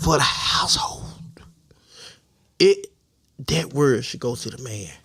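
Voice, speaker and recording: A man puts on a raspy character voice at medium pitch. He talks at a fairly slow pace. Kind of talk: preacherly. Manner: pastoral, put-on.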